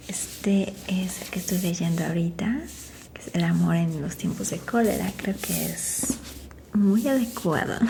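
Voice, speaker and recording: A soft-spoken woman at a fairly slow pace, with big swings in loudness and noticeable background noise. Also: medium pitch for a woman, ordinary pitch variation. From Mexico. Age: 40s. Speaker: makeup artist. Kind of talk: casual talk to camera.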